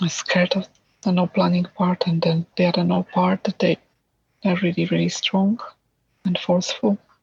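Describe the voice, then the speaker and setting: Keeping her loudness very even, a woman talks at a moderate pace with long, frequent pauses. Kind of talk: IFS therapy session client answer. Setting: early morning at home, child sleeping nearby. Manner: whispered, quiet.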